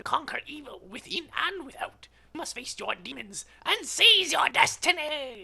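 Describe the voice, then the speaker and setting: A man puts on a character voice at an extremely high pitch and speaks at a moderate pace. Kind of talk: mystical storytelling. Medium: read story. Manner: calm, measured, sage-like.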